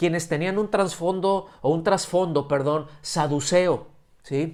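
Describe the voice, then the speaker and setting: A man speaks in a high pitch at a fairly slow pace. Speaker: preacher. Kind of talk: sermon. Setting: church service streamed via video call. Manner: halting, many fillers and restarts.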